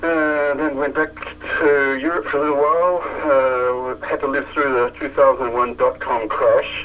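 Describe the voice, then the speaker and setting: At a moderate speed, a man talks while background noise is clearly heard. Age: 60s. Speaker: AI researcher. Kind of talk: interview.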